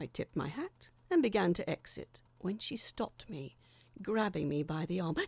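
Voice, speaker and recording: In a very clean recording with a silent background, a woman with a fairly low pitch speaks at a moderate pace with vocal fry. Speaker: audio drama narrator. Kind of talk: horror story reading.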